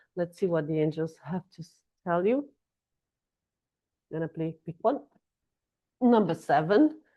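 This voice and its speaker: A woman speaks in a Brazilian Portuguese accent, her pitch fairly low. Her intonation is lively. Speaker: astrology and tarot reader. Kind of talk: casual astrology forecast monologue. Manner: halting, with fillers and restarts.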